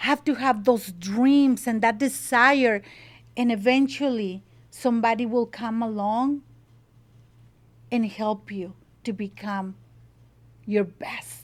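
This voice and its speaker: In a Mexican accent, a woman speaks at a very slow pace with a fairly high pitch and a passionate tone. Her long, frequent pauses stand out against a very clean recording with a silent background. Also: fairly even intonation. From Mexico (Monterrey). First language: Spanish. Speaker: salsa business owner. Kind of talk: interview. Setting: home kitchen.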